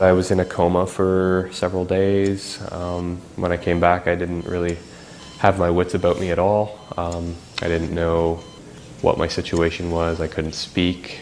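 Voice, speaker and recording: Over noticeable background noise, a man talks in a very deep, low pitch with monotone, flat intonation. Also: fairly slow pace. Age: 30s. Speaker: spinal cord injury survivor. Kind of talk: documentary interview testimony. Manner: halting, many fillers.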